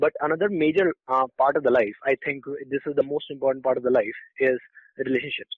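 The man delivers his words at a very fast pace. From India, Patna (Bihar). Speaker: dating coach. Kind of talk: interview.

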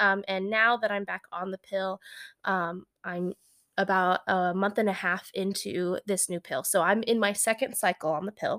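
A woman with an American accent, medium pitch, bright, sharp tone, fairly even intonation and moderate pace, on a very clean recording with a silent background and a dry, close sound with no echo. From US West Coast, San Francisco Bay Area. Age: adult. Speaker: podcast co-host. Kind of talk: casual chat. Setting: home recording in living room.

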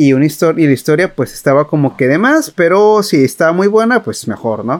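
At a moderate pace, a man talks with a Mexican accent. His intonation is lively. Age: 20s. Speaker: podcast host. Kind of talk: solo casual monologue. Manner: halting.

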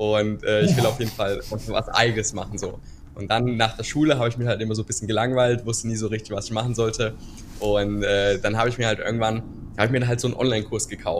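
Somewhat breathy and flat in a monotone, a man speaks at a very fast pace in a medium pitch. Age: 20s. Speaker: business coach and video creator. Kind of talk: podcast interview. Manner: hesitant, many filler sounds.

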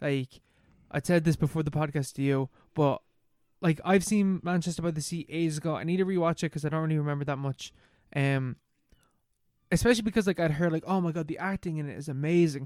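A man with an Irish accent and a fairly high pitch talks at a very fast pace with ordinary pitch variation and long, frequent pauses, in a dry, close sound with no echo. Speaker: film podcast co-host. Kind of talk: casual chat.

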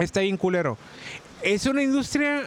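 This voice belongs to a man. His pitch swings very widely. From Tijuana, Mexico. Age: 40s. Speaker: former call center worker. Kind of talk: casual chat.

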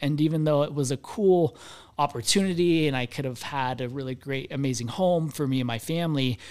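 On a very clean recording with a silent background, a man with a normal speaking voice talks at a moderate pace, his pitch fairly high with ordinary variation. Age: 30s. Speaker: solar company CEO. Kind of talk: interview.

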